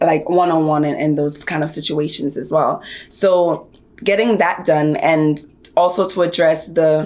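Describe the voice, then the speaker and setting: With an American accent, a woman talks at a moderate pace in a very deep, low pitch and fairly even intonation. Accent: Jamaican accent, trained to American. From Jamaica. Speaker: actor and activist. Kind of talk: interview.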